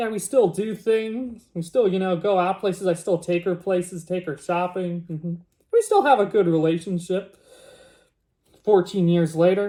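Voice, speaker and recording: Speaking at a moderate pace, a man with a high pitch and a dark, mellow tone keeps his intonation fairly even. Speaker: YouTuber. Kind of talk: reading aloud and commentary. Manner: casual, talkative.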